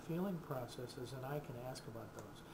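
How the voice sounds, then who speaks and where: A man speaks with ordinary pitch variation. Noticeable background noise and audible room echo surround his voice. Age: 60s. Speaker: counselor. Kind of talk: casual explanatory video talk. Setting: recorded to camera. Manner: halting, with many fillers.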